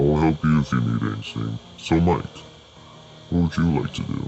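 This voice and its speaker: Doing a put-on character voice, a man speaks at a moderate pace in a very deep, low pitch with a calm tone, over clear background noise. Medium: read story. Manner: calm, formal.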